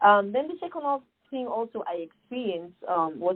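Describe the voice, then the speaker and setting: Here is a woman with an African accent. Her intonation is lively. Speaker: nonprofit founder. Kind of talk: podcast interview. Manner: animated.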